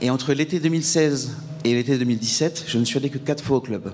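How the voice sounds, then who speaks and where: Noticeable background noise sits behind a man talking at a very fast pace with ordinary pitch variation. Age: 30s. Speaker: mental health testimony speaker. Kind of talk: testimony. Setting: event with audience. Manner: halting, many hesitations.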